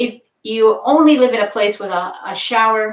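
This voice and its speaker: A woman with a plain, everyday voice talks at a fairly slow pace, her fairly high pitch showing ordinary variation. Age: 60s. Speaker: yoga instructor. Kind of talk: live-streamed yoga class talk. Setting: live stream on camera. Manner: casual, conversational.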